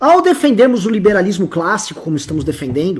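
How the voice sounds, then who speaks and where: At a fairly quick pace, a man speaks at a high pitch with very wide pitch swings. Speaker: political commentator. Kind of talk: political discussion.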